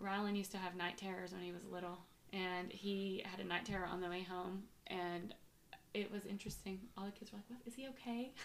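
A woman has an unremarkable speaking voice at medium pitch with fairly even intonation. She talks at a fairly quick pace. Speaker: podcast host and mother. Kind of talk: casual family chat interview. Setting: shared microphones, home recording.

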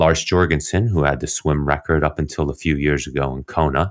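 A man speaks with a very deep, low pitch and vocal fry, in a dry, close sound with no echo. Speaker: endurance coach and former swimmer. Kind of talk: interview conversation. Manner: calm, soothing.

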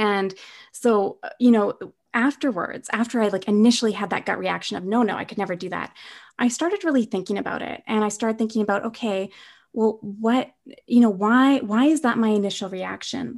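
In a Canadian accent, someone with a normal speaking voice talks at a fairly quick pace with ordinary pitch variation against a quiet background. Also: woman, fairly high pitch for a woman. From Canada, Winnipeg. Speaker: author and productivity coach. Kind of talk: interview.

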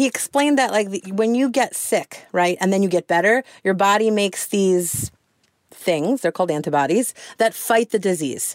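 A woman's animated voice at medium pitch, with lively intonation, moderate pace, very even loudness and a dry, close sound with no echo. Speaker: radio news reporter. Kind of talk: casual chat.

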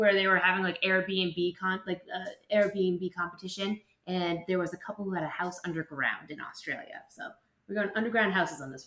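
A woman speaks with an American accent at a medium pitch. She has a normal speaking voice. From Boston. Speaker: school teacher. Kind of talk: casual chat.

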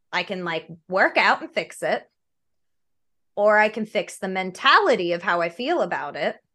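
Against a quiet background, a woman projects a raised voice, animated, with a bright, sharp tone. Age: 30s. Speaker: gamer, streamer and cosplayer. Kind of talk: casual chat. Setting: video call. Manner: loud.

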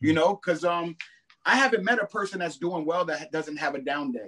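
In an unremarkable speaking voice, a man speaks with lively intonation and a fairly high pitch. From Brooklyn, New York. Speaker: rapper. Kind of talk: interview. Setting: studio. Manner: casual.

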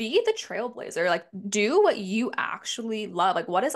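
Against a quiet background, a woman with a Canadian accent speaks at a fairly high pitch in an animated tone. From Toronto, Canada. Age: 20s. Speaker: lifestyle podcaster. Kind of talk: casual chat.

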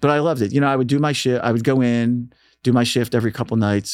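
A man's medium-pitched voice with an American accent, very fast delivery and fairly even intonation, on a very clean recording with a silent background. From Philadelphia, Northeast. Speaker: radio DJ and station manager. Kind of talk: casual interview. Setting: studio.

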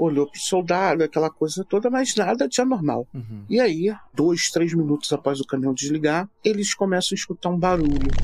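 In a dry, close sound with no echo, a man speaks at a moderate pace and a high pitch, with lively intonation and hardly any pauses. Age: 40s. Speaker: storyteller recounting his father's UFO encounter. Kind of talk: casual interview, storytelling.

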